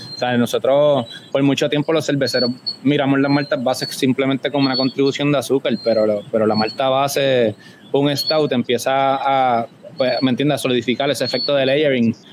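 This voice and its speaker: Over noticeable background noise, a man talks at a fairly quick pace and medium pitch in a flat monotone, his loudness very even. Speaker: homebrewer and beer judge. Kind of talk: casual chat. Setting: remote call with headphones.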